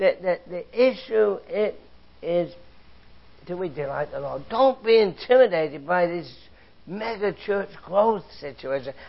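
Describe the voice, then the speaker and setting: An English accent with lively intonation, big swings in loudness and a fairly slow pace. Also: man, high pitch for a man. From England, London area. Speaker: Bible teacher. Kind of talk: sermon.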